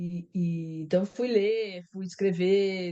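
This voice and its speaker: The woman has a normal speaking voice, pitched in the middle of her range, and her pitch varies in an ordinary way. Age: 60s. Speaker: writer. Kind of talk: interview.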